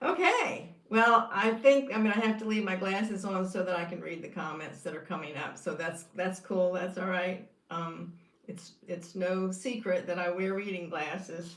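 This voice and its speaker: A woman talks at a moderate pace with a medium pitch and ordinary pitch variation. The room echo is audible, and there is noticeable background noise. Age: 70s. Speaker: YouTuber sharing carnivore diet experience. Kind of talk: casual livestream monologue. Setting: live stream reading comments. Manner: hesitant with fillers.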